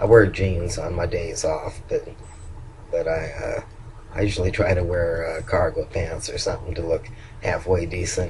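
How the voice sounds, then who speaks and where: A man's voice is heard over noticeable background noise. Audible room echo is present too. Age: old. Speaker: vlogger. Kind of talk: video diary. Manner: halting.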